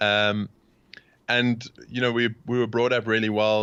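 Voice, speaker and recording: A man with a South African accent and a flat, monotone delivery. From South Africa, Cape Town. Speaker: podcast host, interviewed as guest. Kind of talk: interview. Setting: remote call.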